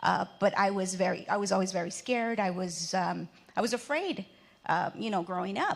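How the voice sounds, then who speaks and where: A woman with a Spanish accent at a moderate pace. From Mexico, raised in the US from age three. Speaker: entrepreneur, panelist. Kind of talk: panel discussion.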